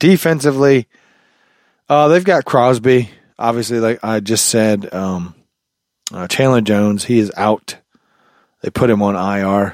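A man speaks at a fairly slow pace with long, frequent pauses and ordinary pitch variation. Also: medium pitch for a man. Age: 30s. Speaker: sports podcast host. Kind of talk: casual solo podcast talk. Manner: halting, many fillers.

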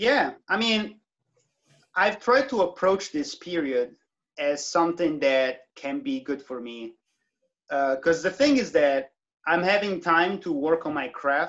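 Fairly slow, high-pitched male speech in an Italian accent with very wide pitch swings. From southern Italy. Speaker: trumpeter and electronic musician. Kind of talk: interview.

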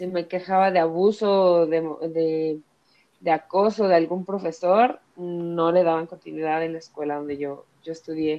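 Speaking fairly slowly in a Mexico City accent, a woman keeps a fairly low pitch and fairly even intonation. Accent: Mexico City Spanish (chilango). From Mexico City area, Ecatepec. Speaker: feminist activist. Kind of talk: podcast interview.

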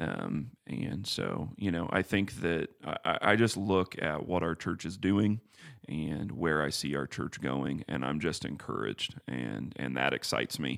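A man with a very deep, low pitch, vocal fry and a calm tone speaks at a fairly slow pace with lively intonation, on a very clean recording with a silent background. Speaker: church staff member, podcast co-host. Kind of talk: casual theological discussion.

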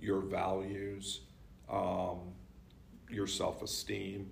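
In a room with audible echo, a man speaks in a fairly low, somewhat breathy voice. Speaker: communication professor. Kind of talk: casual book discussion. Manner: projects less strongly.

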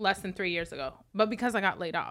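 A woman speaks with an American accent at a fairly quick pace, her tone bright and sharp. The recording is very clean, with a silent background. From Las Vegas, US. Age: 30s. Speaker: makeup artist and event host. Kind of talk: casual chat.

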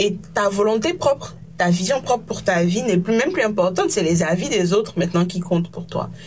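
A woman speaks at a medium pitch and moderate pace with hardly any pauses and ordinary pitch variation, over noticeable background noise. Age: 20s. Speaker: podcast host. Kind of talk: casual interview conversation.

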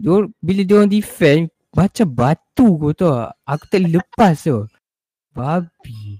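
Dark and mellow in tone yet high in pitch, a man speaks very slowly with very wide pitch swings in a dry, close sound with no echo. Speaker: podcast co-host. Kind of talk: casual chat.

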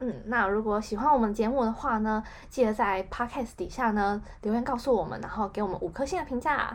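A woman talks fairly quickly at a fairly high pitch with ordinary pitch variation. Hers is a normal speaking voice. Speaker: podcast co-host. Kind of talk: casual chat.

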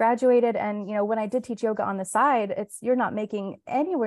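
Against a quiet background, a woman talks at a very fast pace. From Florida, US. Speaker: wellness app co-founder and yoga teacher. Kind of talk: casual interview. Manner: hesitant, many fillers.

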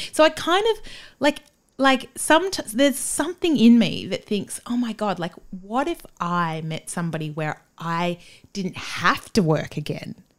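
Speaking fairly slowly with an Australian accent, a woman uses a fairly high pitch, very wide pitch swings and an animated tone. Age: 40s. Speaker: playwright and podcaster. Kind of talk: casual chat.

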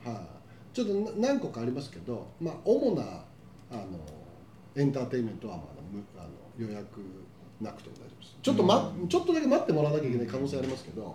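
Amid noticeable background noise and audible room echo, a man talks at a very fast pace with big swings in loudness. His speech has long, frequent pauses. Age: 50s. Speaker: podcast host. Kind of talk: casual chat.

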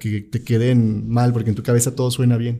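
Here a man talks at medium pitch in a dark, mellow tone. He keeps a moderate pace. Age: 20s. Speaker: filmmaker and producer. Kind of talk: casual interview.

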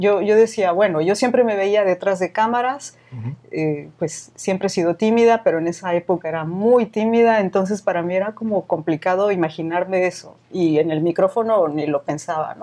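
Against a quiet background, a woman talks at a moderate pace with hardly any pauses. Her medium-pitched voice has a dark, mellow tone and ordinary pitch variation. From Mexico, Veracruz port. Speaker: singer and former radio announcer. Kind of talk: casual interview.

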